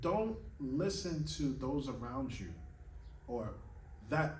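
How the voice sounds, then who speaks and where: Vocal fry runs through a man's voice amid audible room echo. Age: 30s. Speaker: classical pianist and piano teacher. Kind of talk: motivational monologue to camera. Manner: earnest, emphatic.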